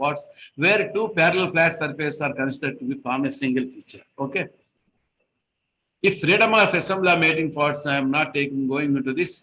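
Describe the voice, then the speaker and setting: A man's bright, sharp voice, fairly high-pitched, at a fairly quick pace. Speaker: engineering trainer. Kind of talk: online lecture. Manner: fast.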